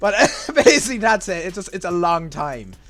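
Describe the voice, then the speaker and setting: A man with a strong Irish accent at a fairly quick pace, ordinary pitch variation and music in the background. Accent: Irish, strong, gets stronger as video goes on. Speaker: gaming YouTuber. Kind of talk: casual explainer reacting to a video. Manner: hesitant, many fillers and repetitions.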